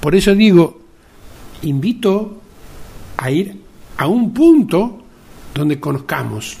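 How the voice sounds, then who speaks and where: A man speaks at a very slow pace and a high pitch, with long, frequent pauses. His pitch swings very widely. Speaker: podcast host, media journalist. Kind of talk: opinion monologue. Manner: conversational, with fillers.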